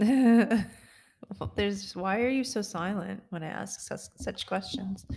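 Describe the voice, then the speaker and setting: The voice is somewhat breathy. A woman delivers it at a very slow pace. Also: medium pitch for a woman, ordinary pitch variation. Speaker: podcast co-host. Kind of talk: casual chat. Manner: joking, interrupts a lot.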